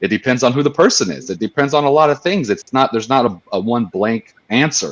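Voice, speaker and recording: A man talks at a fairly quick pace with lively intonation. He has a plain, everyday voice. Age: middle-aged. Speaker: panel co-host. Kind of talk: casual panel discussion.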